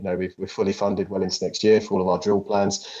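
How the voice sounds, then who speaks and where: Speaking at a very fast pace, a man talks with a British accent. His voice has a fairly low pitch and a dark, mellow tone. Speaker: company CEO hosting investor Q&A. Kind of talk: live investor Q&A. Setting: online audio chat room.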